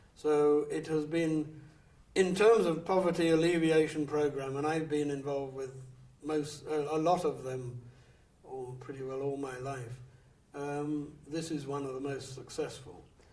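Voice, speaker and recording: With audible room echo and noticeable background noise, a man talks at a fairly slow pace in a fairly high pitch, his intonation fairly even. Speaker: aid worker. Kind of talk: interview. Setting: filmed interview. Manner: halting.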